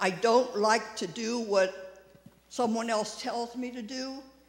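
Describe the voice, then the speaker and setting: A man with a high pitch speaks at a very slow pace. Audible room echo and noticeable background noise surround him. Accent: American. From US, Maryland (Frederick). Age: 80s. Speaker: quilter. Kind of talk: speech to congregation. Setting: church service.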